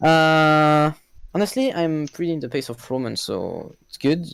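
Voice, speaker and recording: With a French accent, a man speaks in a dry, close sound with no echo, on a very clean recording with a silent background. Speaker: esports racing driver. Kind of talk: post-race interview. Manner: halting.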